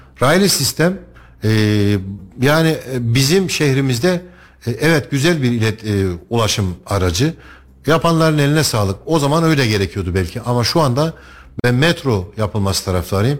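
A man speaking at a moderate pace, with very wide pitch swings, very even loudness and long, frequent pauses, on a very clean recording with a silent background. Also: medium pitch for a man. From Turkey, Kayseri. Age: 40s. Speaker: parliamentary candidate. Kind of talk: radio interview.

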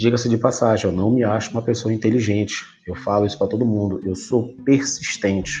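Pitched at a medium level, a man talks at a fairly quick pace in a somewhat breathy, dark, mellow tone with ordinary pitch variation. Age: 40s. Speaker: production engineer and professor. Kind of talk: interview.

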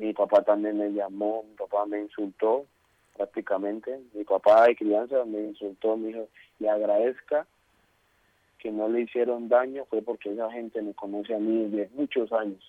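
A man's fairly low voice stays monotone and flat as he talks at a moderate pace. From Colombia. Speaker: footballer. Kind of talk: interview.

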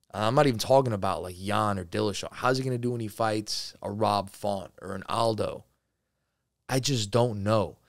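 In a very clean recording with a silent background, a man with an American accent speaks at a moderate pace. He has a plain, everyday voice, a fairly low pitch and fairly even intonation. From New Jersey. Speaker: MMA podcast host. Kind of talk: solo sports commentary show. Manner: casual, filler-heavy.

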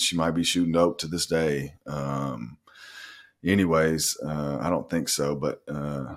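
A man with an Arkansas accent. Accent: Southern US (Arkansas). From Arkansas, North Little Rock. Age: 40s. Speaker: nurse practitioner in recovery. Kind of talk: casual interview.

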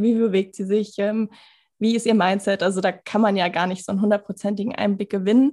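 Recorded very cleanly against a silent background, a woman speaks at fairly high pitch and a fairly quick pace, her tone dark and mellow and her intonation fairly even. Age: 20s. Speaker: former coaching client, student and podcaster. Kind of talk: casual interview chat.

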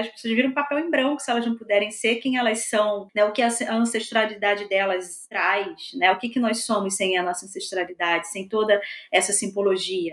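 A woman with a fairly high pitch and lively intonation talks at a fairly quick pace over noticeable background noise. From Belford Roxo, Rio de Janeiro state, Brazil. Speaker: historian. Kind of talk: interview.

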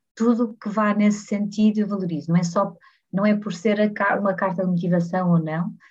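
At a fairly quick pace, a woman speaks with fairly even intonation in a somewhat breathy voice with a dark, mellow tone. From Portugal, Porto. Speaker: head of people and culture at a startup. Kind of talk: casual interview.

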